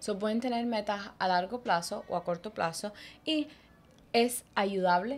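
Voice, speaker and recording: A woman talks at a fairly slow pace in a medium pitch, with ordinary pitch variation. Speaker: podcast co-host, therapy services. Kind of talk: casual chat. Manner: code-switching Spanglish.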